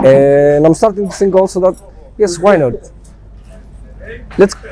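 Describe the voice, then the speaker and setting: A man with a Greek accent speaks at a fairly slow pace in a high voice, with ordinary pitch variation. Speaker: band member, singer in a Greek band. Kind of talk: interview.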